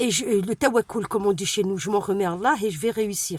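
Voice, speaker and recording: The woman's medium pitch moves with ordinary variation in a dry, close recording with no echo. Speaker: vlogger, single mother. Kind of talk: casual vlog talk to camera. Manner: fast; hesitant, many fillers.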